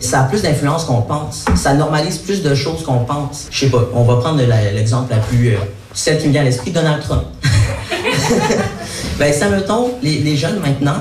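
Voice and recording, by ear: With audible room echo, a man speaks at a moderate pace in a fairly high pitch and lively intonation.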